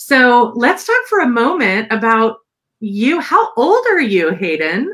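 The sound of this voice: The voice moves at a slow pace with big pitch swings, a fairly bright tone and a slightly husky edge. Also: woman, fairly high pitch for a woman.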